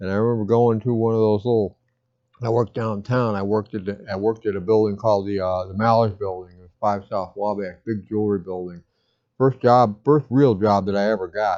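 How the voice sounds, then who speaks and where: Against a quiet background, a man speaks at a fairly quick pace in a dark, mellow tone, his fairly low pitch held to fairly even intonation while his loudness swings widely. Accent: American. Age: 60s. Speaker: pipe smoking vlogger. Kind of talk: casual monologue. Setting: home. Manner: halting.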